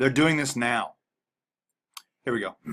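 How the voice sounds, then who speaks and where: A man's medium-pitched voice has a bright, sharp tone. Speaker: conspiracy video blogger. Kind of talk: reading documents aloud with commentary. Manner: halting, stuttering.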